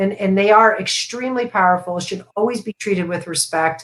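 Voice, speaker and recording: Very cleanly recorded over a silent background, a woman with a plain, everyday voice and an American accent speaks at a moderate pace with ordinary pitch variation. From US, Florida. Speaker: essential oils and meditation educator. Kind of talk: live stream interview. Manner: casual, many fillers.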